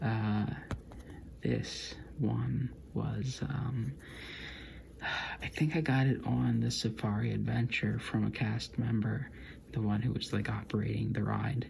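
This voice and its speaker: This soft-spoken voice moves at a very slow pace. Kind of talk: ASMR soft-spoken casual talk to camera.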